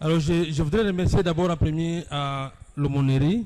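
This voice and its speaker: At a fairly slow pace, a man talks with a dark, mellow tone and ordinary pitch variation. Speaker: academic lecturer. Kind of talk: lecture. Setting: university hall with live audience, streamed online.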